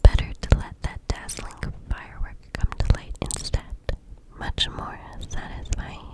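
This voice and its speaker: A woman whispers at a fairly slow pace, with noticeable background noise behind her. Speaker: ASMR artist. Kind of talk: oracle card reading. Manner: whispered.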